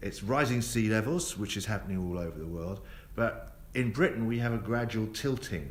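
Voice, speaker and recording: A man with a South East London accent speaks in a fairly low pitch with lively intonation. His moderate pace carries audible room echo. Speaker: tour guide. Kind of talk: live tour commentary. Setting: on a moving tour bus. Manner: casual, with many fillers.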